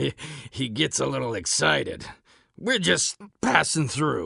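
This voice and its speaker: A man puts on a raspy character voice at a medium pitch. His pitch swings very widely as he talks at a moderate pace. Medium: machinima. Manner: terse, speaks of self in third person.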